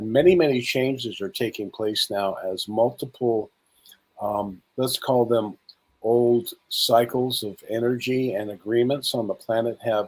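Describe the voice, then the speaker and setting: This is an ordinary speaking voice, its pitch variation ordinary. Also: man. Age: 60s. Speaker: spiritual speaker and conference host. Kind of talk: interview.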